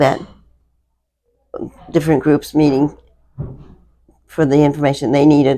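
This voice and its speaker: Soft-spoken, the voice moves at a fairly slow pace with long, frequent pauses. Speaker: navy veteran, operating room staff on a hospital ship. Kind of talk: oral history interview. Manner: halting.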